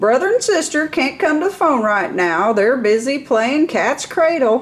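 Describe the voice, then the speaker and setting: In a put-on character voice, a woman speaks loudly at a moderate pace and a high pitch. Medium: read story. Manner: jolly, strong and forthright.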